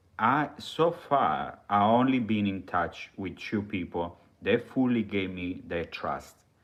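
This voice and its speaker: With an Italian accent, a man talks at a fairly slow pace, his fairly low voice rising and falling with lively intonation. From Italy. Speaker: live streamer. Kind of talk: live stream monologue. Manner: halting.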